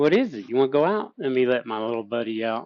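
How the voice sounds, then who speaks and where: A man's normal speaking voice at medium pitch, ordinary pitch variation, dry and close with no echo. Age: 50s. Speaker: livestream host discussing psychedelics. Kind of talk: casual livestream chat.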